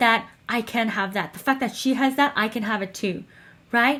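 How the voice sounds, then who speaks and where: This woman speaks in an American accent at a moderate pace. Her tone is animated, with ordinary pitch variation. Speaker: dating and wealth coach. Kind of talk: motivational talk to camera.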